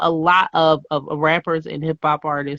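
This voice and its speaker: A woman with an American accent has a bright, sharp tone in a dry, close sound with no echo. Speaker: podcast host. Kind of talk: casual interview.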